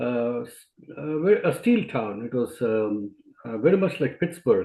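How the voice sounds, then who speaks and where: Speaking at a fairly slow pace in an Indian accent, a man with a medium pitch swings his pitch very widely. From India (Jamshedpur). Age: 60s. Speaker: physician and speaker. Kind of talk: interview. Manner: hesitant, many fillers.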